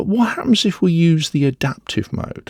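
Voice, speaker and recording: Dry and close with no echo, a man's dark, mellow voice carries lively intonation and a Northern English accent. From northern England. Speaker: audio software reviewer. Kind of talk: tutorial.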